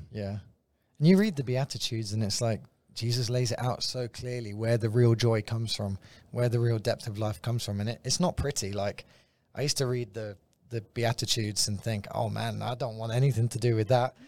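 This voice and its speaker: In a London accent, a man speaks at a fairly quick pace with fairly even intonation. The recording is very clean, with a silent background. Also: medium pitch for a man. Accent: British, London. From London, England. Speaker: guest, visiting ministry worker. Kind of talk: casual conversational teaching. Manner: light-hearted, jokey.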